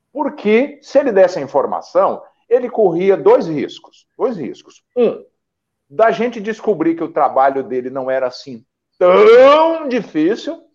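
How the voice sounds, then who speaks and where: A high-pitched man's voice at a fairly slow pace, with very wide pitch swings. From Brazil, interior of São Paulo and Paraná. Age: 50s. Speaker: journalist and political campaign coach. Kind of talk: casual interview chat. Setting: online live stream. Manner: animated, frequent laughter; repetitive, halting restarts.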